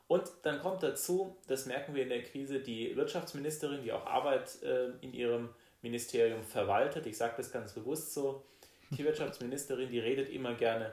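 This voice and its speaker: At a moderate pace, a man with a medium pitch and ordinary pitch variation talks in an ordinary speaking voice. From Baden, southwest Germany. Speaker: state politician. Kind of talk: political interview.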